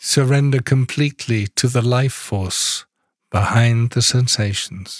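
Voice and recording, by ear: In a dry, close sound with no echo, a man speaks slightly breathily at a medium pitch, fairly slowly and with fairly even intonation.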